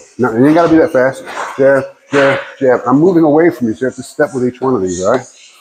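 Noticeable background noise sits under a man's voice, whose pitch varies in an ordinary way. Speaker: boxing coach. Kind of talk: coaching instructions. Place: gym. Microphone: camera far.

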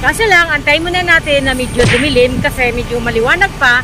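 A woman projects a raised voice with lively intonation at a moderate pace. The sound is dry with no echo, and there is noticeable background noise. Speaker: travel vlogger. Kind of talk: casual vlog chat. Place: street. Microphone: phone near.

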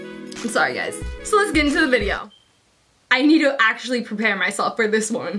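A woman talks in a high voice with an animated tone and very wide pitch swings. Music plays in the background. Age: young. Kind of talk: casual story time talk to camera. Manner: animated, chatty.

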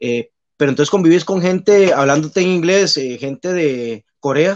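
The pace is moderate. Intonation is lively. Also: man. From Costa Rica, Pérez Zeledón; Costa Rica. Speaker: basketball referee; guest. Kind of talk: casual interview. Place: home room. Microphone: video call.

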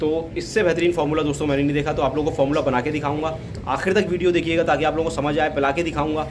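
The speech runs at a very fast pace, in a monotone with flat intonation and very even loudness. Noticeable background noise is present. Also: man. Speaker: goat farmer vlogger. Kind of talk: casual vlog chat. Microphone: phone near.

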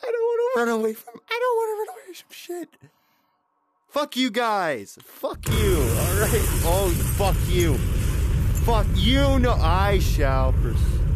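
Loud background noise runs beneath a man speaking very slowly, and the sound is dry with no echo. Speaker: gamer. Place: home room.

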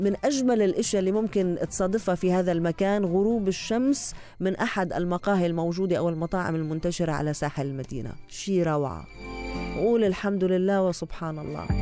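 A woman talks in a dry sound with no echo while clear music sounds behind her. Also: ordinary pitch variation, moderate pace. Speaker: radio presenter. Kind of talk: radio travel segment, half read. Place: studio. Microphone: studio mic.

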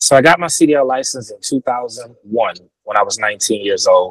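A man at a moderate pace, with a dry sound, no echo and a quiet background. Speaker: guest. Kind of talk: interview answer. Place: car. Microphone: earbuds.

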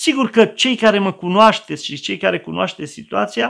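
At a moderate pace, a man speaks with very wide pitch swings against a quiet background. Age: old. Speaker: pastor. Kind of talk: sermon. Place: home room.

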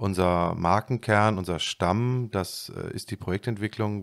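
Against a quiet background, a man with a plain, everyday voice speaks at a fairly slow pace, his fairly low pitch held to fairly even intonation. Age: 40s. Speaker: real estate executive; podcast guest. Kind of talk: interview. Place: office. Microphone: studio mic.

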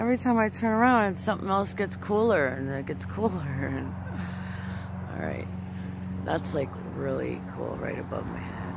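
Loud background noise surrounds a woman with an American accent who speaks at a moderate pace with long, frequent pauses, in a dry sound with no echo. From South Florida, US. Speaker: amateur sky-watching video creator. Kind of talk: casual vlog narration. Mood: awed, pleading. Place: garden. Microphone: phone near.

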